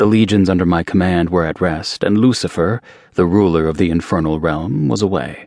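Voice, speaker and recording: The speaker talks at a moderate pace. The pitch varies in an ordinary way. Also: man. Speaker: audiobook narrator. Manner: smoldering and sensual, with dry disdain when speaking of humans.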